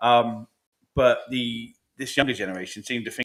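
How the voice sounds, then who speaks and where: This man has an English accent. His pitch is medium. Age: 40s. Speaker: podcast co-host. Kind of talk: casual chat.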